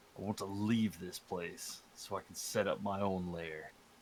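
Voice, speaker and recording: Over clear background noise, a man does a put-on character voice at a moderate pace, his pitch fairly low. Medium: actual play. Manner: commanding, menacing.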